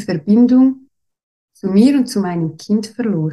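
Somewhat breathy with a dark, mellow tone, a woman speaks at a medium pitch and fairly slow pace. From Switzerland. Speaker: former nurse and mother sharing birth story. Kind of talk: personal birth story in interview. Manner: halting, many fillers.

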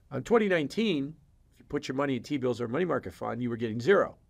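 Over a silent background in a very clean recording, a man with a medium pitch and vocal fry talks at a very fast pace with very wide pitch swings. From Chicago. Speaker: macroeconomic research firm president. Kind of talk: podcast interview. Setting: in-person studio.

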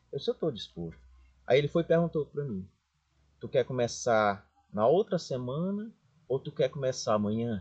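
A man with a somewhat breathy, fairly high voice swings very widely in pitch and leaves long, frequent pauses, in a dry, close sound with no echo. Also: moderate pace. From Brazil, Maranhão (Chapadinha). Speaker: pharmacy business owner. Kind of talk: interview storytelling.

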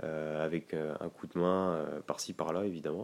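On a very clean recording with a silent background, a man is talking. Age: 20s. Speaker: real estate investor. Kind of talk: casual chat. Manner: halting.

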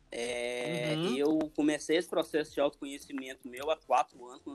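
A man at a moderate pace, fairly high in pitch, with fairly even intonation. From Belo Horizonte, Minas Gerais, Brazil. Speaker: podcast guest. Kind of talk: casual chat. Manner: calm.

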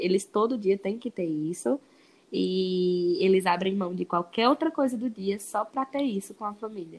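A woman with a Ceará accent speaks with lively intonation. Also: medium pitch for a woman, moderate pace. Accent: Northeastern Brazilian Portuguese (Ceará). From Brazil, Ceará (Crato). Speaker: veterinary student and English teacher. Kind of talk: casual interview.

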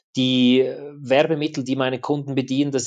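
Against a quiet background, a man speaks. His pitch is medium and his pace moderate. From Switzerland. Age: 40s. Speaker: adventure and action photographer. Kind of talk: interview.

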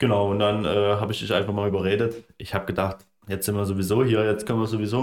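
Delivered at a very fast pace, the speech has a strong Saxon accent and monotone, flat intonation. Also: man. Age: 20s. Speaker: landscape photographer. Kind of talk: casual chat.

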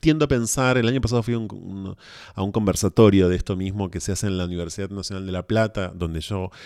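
A man's fairly low voice, with fairly even intonation, comes through in a very clean recording against a silent background. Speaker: podcast guest. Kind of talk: casual discussion.

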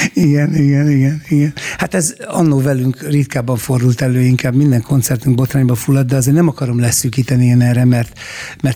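Over noticeable background noise, a man speaks at a fairly quick pace, medium in pitch with fairly even intonation. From Hungary. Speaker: radio host and rock musician. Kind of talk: interview.

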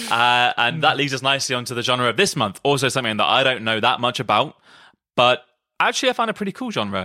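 A man with a British accent talks fairly quickly at medium pitch, his tone bright and sharp and his intonation lively. The sound is dry and close with no echo, on a very clean recording with a silent background. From UK. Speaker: podcast host, musician. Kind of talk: casual chat. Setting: band retreat in countryside house.

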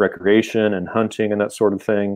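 Speaking with a Midwestern American accent, a man has a fairly low pitch. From Kansas. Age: 50s. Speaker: philosophy professor. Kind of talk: casual interview.

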